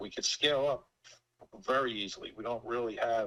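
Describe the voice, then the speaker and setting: This man speaks at a moderate pace. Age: 60s. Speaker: pool company owner. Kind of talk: business discovery call.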